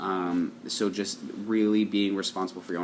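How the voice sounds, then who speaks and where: Fairly even intonation marks this man's speech at a fairly low pitch. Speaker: tarot card reader. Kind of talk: daily tarot reading monologue. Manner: fast; hesitant, many um fillers.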